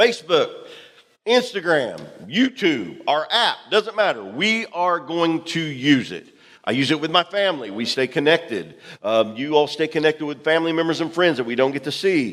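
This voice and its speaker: A loud man with vocal fry speaks at a moderate pace. His pitch is fairly high and swings very widely. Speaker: pastor. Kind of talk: sermon. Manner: animated.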